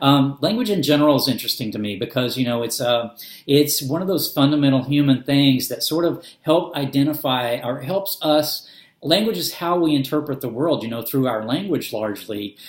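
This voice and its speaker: Speaking with a slight Southern US accent, a man talks at a fairly quick pace and fairly high pitch with ordinary pitch variation. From US South, Arkansas. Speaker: booktuber. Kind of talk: casual vlog talk. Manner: hesitant, many fillers.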